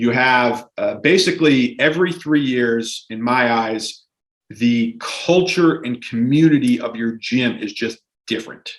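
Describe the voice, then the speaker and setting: This is a man with a normal speaking voice. His pitch is medium and varies in an ordinary way. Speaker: gym owner. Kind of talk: podcast interview.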